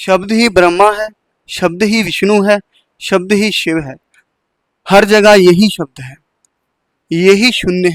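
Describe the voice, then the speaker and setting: A man speaks in a high voice with fairly even intonation. His loudness swings widely, and he leaves long, frequent pauses. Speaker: spiritual speaker. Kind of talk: spiritual talk.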